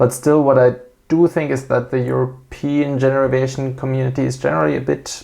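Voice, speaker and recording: A man speaks with a German accent at a medium pitch. His pace is fairly quick. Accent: non-native English, German-speaking. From Switzerland. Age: 30s. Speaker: airline pilot and aviation YouTuber. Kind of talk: channel introduction monologue. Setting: at home. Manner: hesitant, frequent filler 'uh'.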